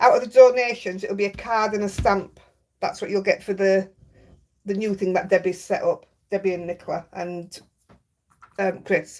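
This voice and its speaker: A woman speaks in a Yorkshire accent with fairly even intonation. Long, frequent pauses break up her speech. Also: medium pitch for a woman, moderate pace. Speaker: craft livestreamer. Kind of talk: casual chat. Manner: chatty.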